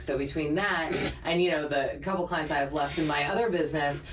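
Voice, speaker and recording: Over noticeable background noise and audible room echo, a woman with a very deep, low voice talks at a fairly quick pace. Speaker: podcast co-host. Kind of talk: casual chat. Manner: naturally fast talker; clear articulation from voiceover training.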